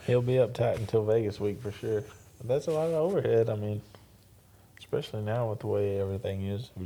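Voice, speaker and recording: In an East Texas accent, a man speaks very fast at medium pitch, his tone dark and mellow, with ordinary pitch variation. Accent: East Texas Southern. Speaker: rodeo announcer and arena manager. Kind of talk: casual chat. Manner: reserved.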